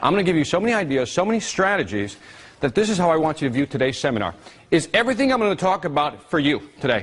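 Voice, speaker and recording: A man's very fast, animated delivery at a fairly high pitch, with very wide pitch swings and very even loudness. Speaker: seminar speaker. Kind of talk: seminar talk. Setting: stage with audience.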